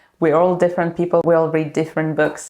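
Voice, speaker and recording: A woman's dark, mellow tone with a Ukrainian accent. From Ukraine. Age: 20s. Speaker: booktuber. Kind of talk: vlog introduction. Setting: alone in a dark room filming. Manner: halting, with fillers.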